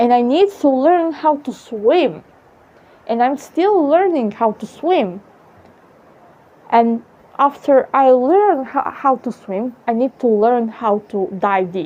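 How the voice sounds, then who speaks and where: A woman's high voice with a strong Serbian accent, very slow and broken by long, frequent pauses, with very wide pitch swings amid noticeable background noise. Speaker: vlogger. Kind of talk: casual monologue. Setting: outdoors on apartment balcony. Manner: halting, many fillers.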